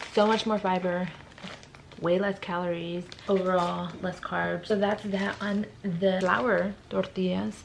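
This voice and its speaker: There is noticeable background noise as a woman with an American accent speaks at a fairly slow pace and medium pitch. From California, Stockton. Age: 20s. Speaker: lifestyle vlogger. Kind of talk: tutorial. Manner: casual.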